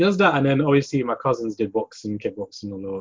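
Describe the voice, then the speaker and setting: Speaking at a fairly quick pace, a man talks with a London accent. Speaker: martial artist. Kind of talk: casual chat.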